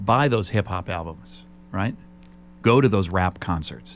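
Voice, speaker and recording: A man's very deep, low voice, with vocal fry and very wide pitch swings. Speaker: radio host. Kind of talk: radio interview.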